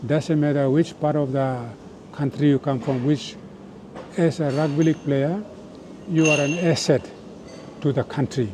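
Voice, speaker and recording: A man's fairly high voice with fairly even intonation and long, frequent pauses, amid noticeable background noise. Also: moderate pace. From Papua New Guinea. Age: 70s. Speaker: former rugby league captain. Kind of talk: interview.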